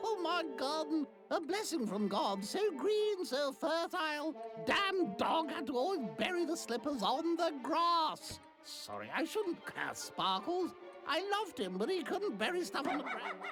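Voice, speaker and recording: Using a put-on character voice, a woman speaks at a high pitch with very wide pitch swings over clear background noise. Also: moderate pace. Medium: video game. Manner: rambling, chatty.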